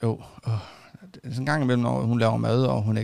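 The tone is dark and mellow, and the recording is very clean with a silent background. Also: man. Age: 30s. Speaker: podcast host. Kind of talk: casual interview.

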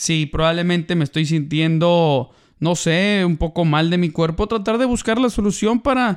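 A man speaks at a moderate pace with a high pitch, very even loudness, ordinary pitch variation and an animated tone, on a very clean recording with a silent background. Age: 30s. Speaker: podcast co-host. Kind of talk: casual chat.

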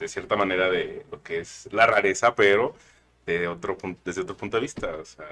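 Speaking with a Mexican accent, a man keeps to a medium tempo. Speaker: podcast co-host, anthropologist. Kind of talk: casual chat. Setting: studio.

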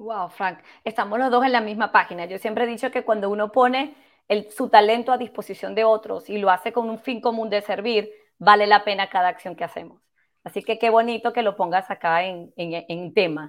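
A woman speaks at a fairly quick pace and a fairly high pitch. Her pitch variation is ordinary, on a very clean recording with a silent background. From Venezuela. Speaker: podcast host, brand strategist. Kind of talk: interview podcast. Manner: animated.

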